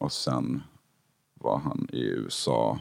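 A man speaks in a dry, close recording with no echo. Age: 30s. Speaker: musician. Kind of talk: casual chat.

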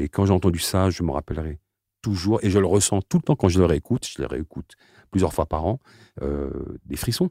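A man's very deep, low voice with vocal fry and a dark, mellow tone, ordinary pitch variation and a moderate pace, dry and close with no echo, in a very clean recording against a silent background. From France, Aubervilliers (Seine-Saint-Denis), Algerian family. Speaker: slam poet. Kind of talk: interview.

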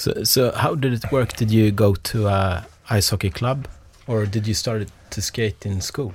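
A man speaks at a fairly slow pace in a Swedish accent. His voice is somewhat breathy, with ordinary pitch variation. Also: fairly low pitch for a man. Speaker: podcast host. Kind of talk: interview.

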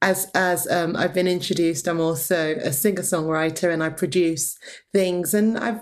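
A woman talks in a plain, everyday voice. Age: 40s. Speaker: choir director and songwriter. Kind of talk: interview.

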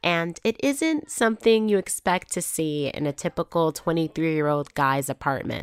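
A woman's plain, everyday voice, fairly low in pitch, with lively intonation, a moderate pace and hardly any pauses, in a dry, close sound with no echo on a very clean recording over a silent background. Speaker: podcast host. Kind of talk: narrated storytelling with casual chat. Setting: in-person interview at a home.

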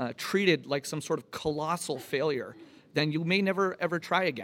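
An unremarkable speaking voice with an American accent shows ordinary pitch variation in a very clean recording with a silent background. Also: man. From United States. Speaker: tech company co-founder. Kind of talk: live panel discussion. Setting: stage with audience.

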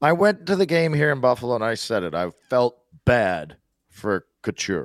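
In a very clean recording with a silent background and a dry, close sound with no echo, a man talks at a moderate pace with medium pitch. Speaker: hockey pundit. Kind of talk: casual chat. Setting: studio.

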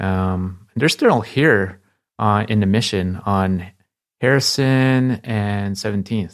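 In a very clean recording with a silent background, a man speaks very slowly at a fairly low pitch with ordinary pitch variation. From Bay Area, California (Palo Alto), moved from the Philippines at nine. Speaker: artist and designer. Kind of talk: interview. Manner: casual, filler-heavy.

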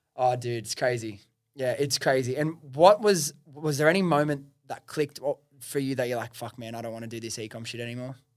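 A man with a Western Sydney accent speaks at a fairly quick pace. His pitch is medium, with ordinary variation. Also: big swings in loudness. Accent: Western Sydney Australian. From Australia (Western Sydney). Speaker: podcast host and entrepreneur. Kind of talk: casual interview. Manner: casual, swears.

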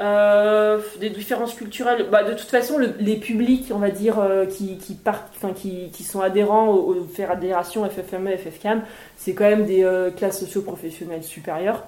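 Speaking at a fairly slow pace, a woman with a medium pitch keeps her intonation fairly even while her loudness swings widely, over noticeable background noise. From Haute-Savoie, France. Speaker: mountaineer and mountain guide, author. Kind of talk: casual interview at a book talk. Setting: live event with audience.

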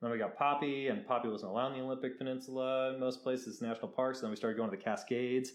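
Over audible room echo, a man speaks at a very fast pace and medium pitch. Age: 30s. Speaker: travel photographer. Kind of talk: casual chat.

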